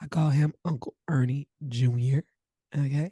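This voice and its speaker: A woman's dark, mellow, somewhat breathy tone at a fairly slow pace, with ordinary pitch variation and a dry, close sound with no echo. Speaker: podcast host. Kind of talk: casual chat.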